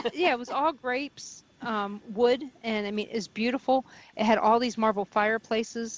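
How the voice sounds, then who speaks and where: A woman with an American accent and a plain, everyday voice, at a moderate pace with ordinary pitch variation. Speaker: paranormal radio host and investigator, volunteer at a haunted mansion. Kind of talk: radio interview answer, telling stories about a haunted mansion.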